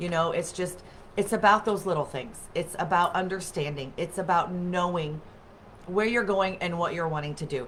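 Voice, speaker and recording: This woman has a normal speaking voice with a fairly low pitch. She talks at a moderate pace with ordinary pitch variation. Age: 40s. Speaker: wellness livestream host. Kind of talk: casual chat. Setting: webcam livestream.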